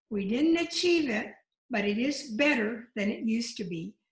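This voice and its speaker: Fairly high in pitch, a woman's voice comes across somewhat breathy. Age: old. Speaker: former legislator. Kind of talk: short congratulatory remarks.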